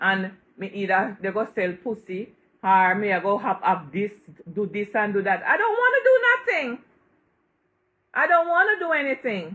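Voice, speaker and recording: Bright, sharp and animated in tone, a woman speaks at a medium pitch with lively intonation. She keeps a moderate pace but leaves long, frequent pauses. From Jamaica. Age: 60s. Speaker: social media personality. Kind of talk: live stream rant.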